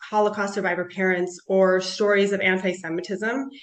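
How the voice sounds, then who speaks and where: A woman speaks with a US Midwestern accent. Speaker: panelist, clinical nutritionist. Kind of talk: panel talk.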